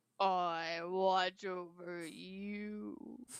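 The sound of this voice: A female-sounding voice at medium pitch performs a put-on character voice.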